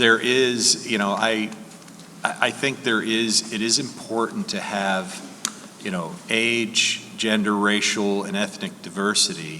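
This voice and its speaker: Amid noticeable background noise and audible room echo, a man speaks at a fairly slow pace with a medium pitch and lively intonation. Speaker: lawyer, panelist. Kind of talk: conference Q&A panel. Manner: calm. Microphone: far from the mic, moved closer.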